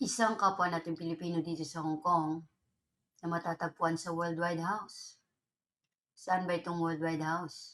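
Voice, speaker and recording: Her pitch is fairly low and her intonation fairly even. The woman keeps a moderate pace. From Philippines. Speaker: vlogger. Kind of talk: casual vlog complaint.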